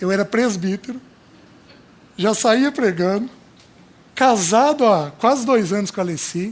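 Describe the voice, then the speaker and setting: A high-pitched man at a fairly slow pace, with ordinary pitch variation and long, frequent pauses. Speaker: preacher. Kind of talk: sermon.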